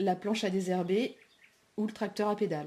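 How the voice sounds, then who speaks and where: The woman's tone is dark and mellow. Her delivery comes at a fairly quick pace. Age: 30s. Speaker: aspiring market gardener. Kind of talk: project presentation. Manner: hesitant, many fillers.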